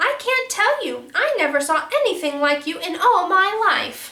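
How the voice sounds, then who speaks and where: A woman puts on a squeaky character voice pitched extremely high, swinging very widely up and down at a moderate pace. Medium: read story. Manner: saucy, teasing, laughing.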